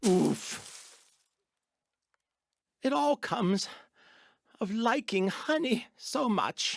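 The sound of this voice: A man speaks at a high pitch in a put-on character voice. He goes at a very slow pace with long, frequent pauses.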